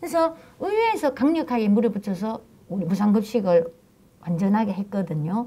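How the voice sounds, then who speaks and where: At a fairly quick pace, a woman with a fairly high pitch talks with lively intonation. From South Korea, Daegu. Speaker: local politician, former city council chair. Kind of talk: panel talk show discussion. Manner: halting, with many fillers.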